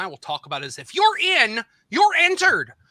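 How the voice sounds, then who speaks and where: A man talks at a fairly quick pace in a raised, projected voice with very wide pitch swings. The sound is dry and close, with no echo. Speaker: game show host. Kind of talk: live quiz show hosting. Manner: fast; loud.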